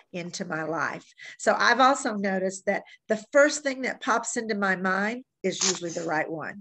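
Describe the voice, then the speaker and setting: With an unremarkable speaking voice, a woman talks at a moderate pace and medium pitch, her intonation lively over a quiet background. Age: 60s. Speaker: fitness program instructor. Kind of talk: workshop presentation.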